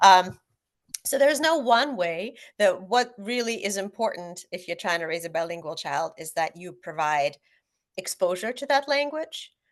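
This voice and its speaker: A woman with a Russian accent talks at a moderate pace, her pitch swinging very widely. The background is quiet. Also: medium pitch for a woman, big swings in loudness. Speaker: author. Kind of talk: panel discussion.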